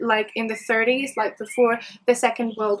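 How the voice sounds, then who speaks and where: A high-pitched woman's voice at a fairly quick pace, with noticeable background noise. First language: French. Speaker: book vlogger. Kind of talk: book review vlog. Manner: enthusiastic.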